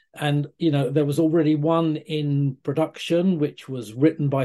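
In a British accent, a man with a fairly high pitch and a dark, mellow tone talks at a fairly slow pace with fairly even intonation against a quiet background. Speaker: comic writer. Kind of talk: interview answers.

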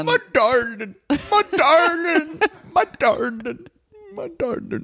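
In a put-on character voice, the speaker talks very slowly at a high pitch with very wide pitch swings. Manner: affectionate, comical.

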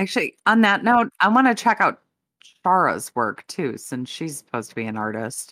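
This woman speaks at a moderate pace and a medium pitch, with very wide pitch swings. Her tone is bright and sharp, with some vocal fry. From Chicago area. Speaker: podcast co-host. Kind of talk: casual chat.

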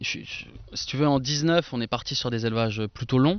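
Fairly slow speech from a man, the intonation fairly even. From Franche-Comté, eastern France. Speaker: winemaker. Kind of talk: casual chat. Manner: hesitant, many fillers.

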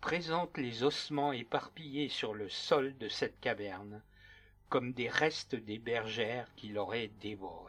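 Over music in the background, a man speaks at a very slow pace in a solemn, dramatic tone. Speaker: true crime narrator and author. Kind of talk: scripted narration. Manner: solemn, dramatic, measured storytelling tone.

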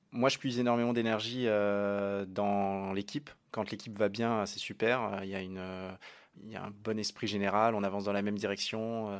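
On a very clean recording with a silent background, a man speaks at a moderate pace in monotone, flat intonation. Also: fairly low pitch for a man. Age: 30s. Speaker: app co-founder. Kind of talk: interview.

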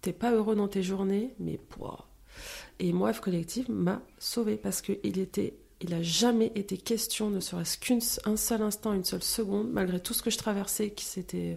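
Over a silent background in a very clean recording, a woman speaks fairly slowly in a medium pitch with a dark, mellow tone. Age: 30s. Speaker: entrepreneur. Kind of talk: casual chat.

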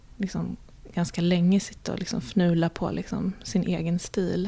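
A woman speaks at a fairly low pitch with a dark, mellow tone. Her intonation is monotone and flat. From Sweden. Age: 40s. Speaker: illustrator. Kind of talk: interview. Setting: her studio.

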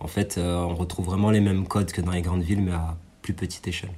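A man's very deep, low-pitched voice, dark, mellow and somewhat breathy, with monotone, flat intonation at a very fast pace. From France, Ardèche (Aubenas). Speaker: rapper. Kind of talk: interview.

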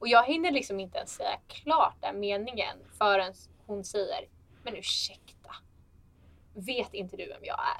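A woman speaks at a fairly slow pace. Her loudness swings widely. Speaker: flight attendant. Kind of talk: casual chat. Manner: animated.

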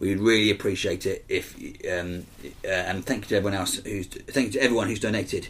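Somewhat breathy, a man with a fairly low pitch speaks at a fairly quick pace with fairly even intonation. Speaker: film podcast co-host. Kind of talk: casual chat.

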